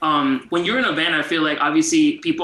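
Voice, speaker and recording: A man talks fairly quickly as noticeable background noise plays behind him. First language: Spanish. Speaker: interviewer. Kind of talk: casual interview.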